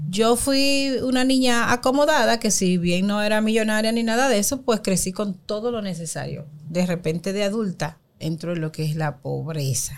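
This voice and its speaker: A woman with a normal speaking voice and a medium pitch talks at a moderate pace with lively intonation. The recording is very clean, with a silent background. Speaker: women's empowerment coach. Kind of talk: interview.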